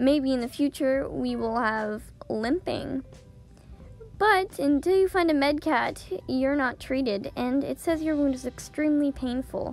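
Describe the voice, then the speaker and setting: Music plays behind a woman whose high, squeaky voice moves at a fairly slow pace. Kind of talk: casual video game update narration.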